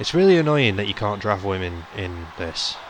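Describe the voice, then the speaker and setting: Over noticeable background noise and audible room echo, a man with a British accent speaks at a moderate pace in a fairly low voice, his tone animated and his intonation lively. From Britain. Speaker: gaming YouTuber. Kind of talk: let's play commentary. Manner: casual, animated.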